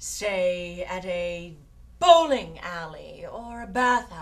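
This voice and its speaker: A woman puts on a character voice at a medium pitch. She speaks at a very slow pace. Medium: comedy sketch.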